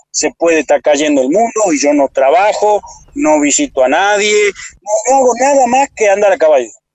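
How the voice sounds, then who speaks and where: The intonation is lively. The pace is moderate. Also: man. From Argentina, Salta province. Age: 40s. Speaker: motivational speaker. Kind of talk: interview conversation.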